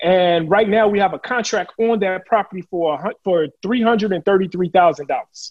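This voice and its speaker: A man speaks at a high pitch with ordinary pitch variation. His tone is animated. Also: moderate pace. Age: 40s. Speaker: real estate investor. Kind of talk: casual chat.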